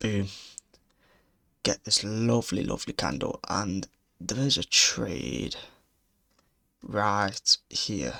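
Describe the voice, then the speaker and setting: Speaking quietly and very slowly with a British accent, a man is heard in a dry, close sound with no echo. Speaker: day trader. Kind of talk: trade recap commentary. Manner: quiet, subdued.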